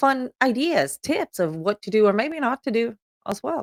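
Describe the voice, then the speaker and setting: A woman with a Swedish accent speaks fairly slowly in a fairly high pitch. Her pitch swings very widely, in a dry, close sound with no echo. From Sweden. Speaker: podcast host. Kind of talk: show introduction.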